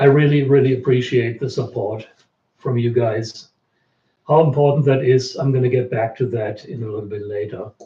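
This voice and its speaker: A man talks at a moderate pace with fairly even intonation. His tone is dark and mellow, and somewhat breathy. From Germany. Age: 60s. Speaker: researcher. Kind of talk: live stream Q&A.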